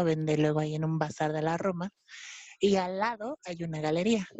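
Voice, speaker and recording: In an ordinary speaking voice, a woman talks at a moderate pace with a fairly low pitch and ordinary pitch variation. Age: 20s. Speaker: art historian and fashion stylist. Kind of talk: casual chat.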